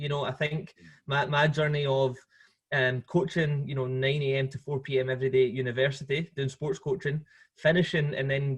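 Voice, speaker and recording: In a Scottish accent, a man speaks fairly quickly with a somewhat breathy, fairly high voice and monotone, flat intonation. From Scotland. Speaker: football coach. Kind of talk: podcast interview. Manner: hesitant, many fillers and repeats.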